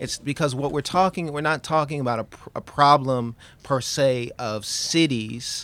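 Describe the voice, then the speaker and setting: A man uses an ordinary speaking voice with a fairly high pitch. He keeps a moderate pace and ordinary pitch variation. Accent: American. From Queens, New York. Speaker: history professor. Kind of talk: academic interview.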